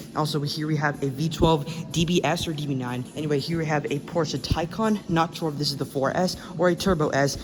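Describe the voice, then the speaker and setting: Over noticeable background noise, a man with a fairly high voice talks at a fairly quick pace, his intonation fairly even and hardly any pauses. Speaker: car vlogger. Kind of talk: walkaround vlog. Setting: car dealership showroom. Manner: fast.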